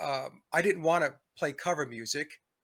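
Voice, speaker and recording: This man has a fairly high pitch, a bright, sharp tone, ordinary pitch variation and a New York accent. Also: very clean recording, silent background. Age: 60s. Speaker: musician and commentator. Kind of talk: interview.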